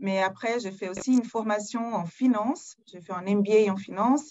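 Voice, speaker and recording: Speaking at a moderate pace, a woman with a Portuguese accent uses a fairly high voice with ordinary pitch variation. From Brazil. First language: Portuguese (speaking French). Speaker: corporate HR executive. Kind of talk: webinar self-introduction.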